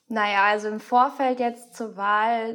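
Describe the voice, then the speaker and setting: Her voice fairly high, a woman speaks with monotone, flat intonation. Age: 20s. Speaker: student political group leader. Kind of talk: interview.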